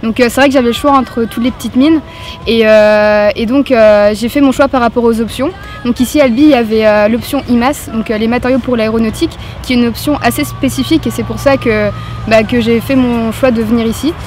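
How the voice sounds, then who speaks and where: The pace is fairly quick, and the intonation fairly even. Background noise is noticeable. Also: woman, fairly high pitch for a woman. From Brittany, France. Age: 20s. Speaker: engineering student. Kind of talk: interview. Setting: on camera. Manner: hesitant, many fillers.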